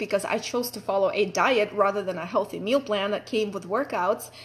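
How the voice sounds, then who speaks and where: A woman with a Russian accent speaks at a moderate pace, her fairly high pitch held in fairly even intonation. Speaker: fitness coach. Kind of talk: personal story talk. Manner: casual, chatty.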